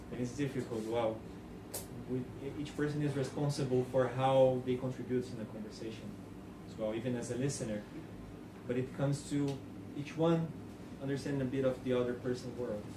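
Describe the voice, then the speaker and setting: A man with a non-native accent talks at a medium pitch and a fairly quick pace, yet with long, frequent pauses. His intonation is monotone and flat, and audible room echo can be heard. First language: not English. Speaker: conference speaker. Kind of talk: Q&A after a talk.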